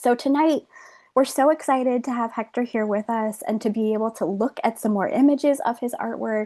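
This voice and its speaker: A woman's fairly high, dark, mellow voice at a moderate pace, with ordinary pitch variation and a quiet background. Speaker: museum curator. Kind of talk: online art talk interview.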